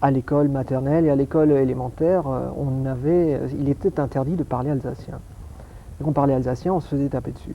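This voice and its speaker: This man's voice sits fairly high in pitch, and he talks at a fairly quick clip. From France, Alsace. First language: Alsatian (speaking French). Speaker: optics scientist. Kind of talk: TV interview. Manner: hesitant, repetitive.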